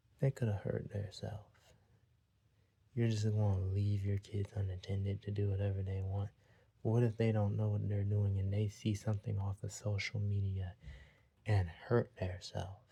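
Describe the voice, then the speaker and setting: Quiet and somewhat breathy, a man speaks at a fairly low pitch with a dark, mellow tone and monotone, flat intonation, keeping a moderate pace broken by long, frequent pauses. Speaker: vlogger giving opinions. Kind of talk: opinion monologue. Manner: quiet, talking a little low; repetitive.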